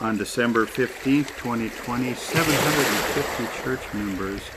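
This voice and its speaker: A man speaks at a medium pitch with fairly even intonation. Noticeable background noise is present. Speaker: prayer leader. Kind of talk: fervent prayer. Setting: outdoors by a lake. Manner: pleading, repetitive.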